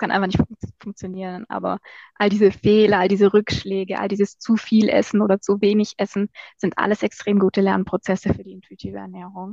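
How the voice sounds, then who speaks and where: Fairly quick female delivery at medium pitch, monotone and flat, with a dry, close sound and no echo. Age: 20s. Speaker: marketing agency owner and social media creator. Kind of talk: casual interview.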